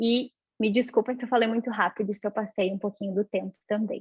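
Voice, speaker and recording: At a fairly quick pace, a woman talks in an ordinary speaking voice with a fairly high pitch. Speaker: university lecturer in performing arts. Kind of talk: academic panel talk.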